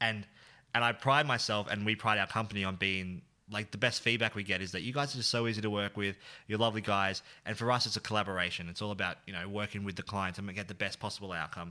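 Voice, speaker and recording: Talking very fast with an Australian accent, a man uses a bright, sharp tone at a fairly low pitch and fairly even intonation. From Australia, central Victoria (Bendigo). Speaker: video producer and creative director. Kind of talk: casual chat. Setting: video call.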